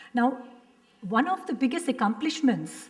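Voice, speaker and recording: A woman's voice in an Indian accent, with very wide pitch swings and a moderate pace. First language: Hindi. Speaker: professor. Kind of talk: panel discussion.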